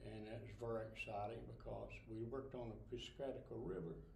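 Audible room echo and light background noise surround a man as he speaks. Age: 80s+. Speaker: Navy veteran. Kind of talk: interview answer. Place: hall. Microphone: camera far.

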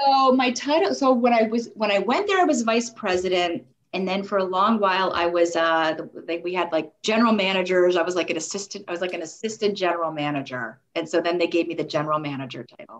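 With an American accent, a woman talks at a very fast pace and medium pitch, her intonation lively and her speech with hardly any pauses. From New York. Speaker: sports marketing agency executive. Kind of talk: interview.

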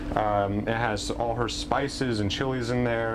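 A man speaks at a moderate pace, his pitch varying in an ordinary way, while noticeable background noise is heard. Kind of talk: interview answer. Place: street.

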